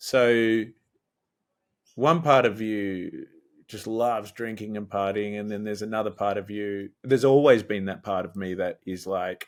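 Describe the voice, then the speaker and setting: This man talks at a fairly slow pace in an Australian accent, his pitch fairly low. The recording is very clean, with a silent background. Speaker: musician. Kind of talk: interview. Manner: casual, hesitant with fillers.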